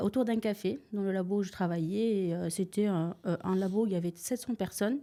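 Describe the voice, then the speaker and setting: A woman at a fairly quick pace, medium in pitch with ordinary pitch variation, with a dark, mellow tone and very even loudness. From Tunisia. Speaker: real estate investor. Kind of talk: podcast interview. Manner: hesitant, many filler sounds.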